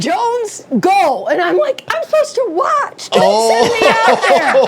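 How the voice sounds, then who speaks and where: A woman with an American accent speaks at an extremely high pitch, her voice swinging very widely. Her pace is fairly slow, and there is noticeable background noise. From Michigan. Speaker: retired news anchor. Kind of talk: casual chat. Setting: studio. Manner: calm, counselor-like.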